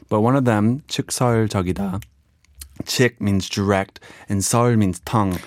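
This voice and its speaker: A man speaks with a fairly low pitch, fairly even intonation and a fairly slow pace. It is a normal speaking voice, recorded very cleanly with a silent background. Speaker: Korean learner quiz contestant. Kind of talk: casual chat.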